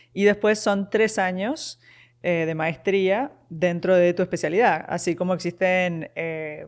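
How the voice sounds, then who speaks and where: Speech unfolds very slowly here. The recording is very clean and the background silent. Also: woman, medium pitch for a woman, ordinary pitch variation. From Uruguay, Montevideo. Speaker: nurse practitioner. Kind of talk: interview conversation.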